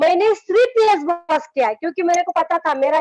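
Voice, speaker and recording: A woman talks with lively intonation. The sound is dry and close, with no echo. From rural Maharashtra, India (village near Aurangabad). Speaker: network marketing business leader. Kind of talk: motivational talk in an online meeting interview.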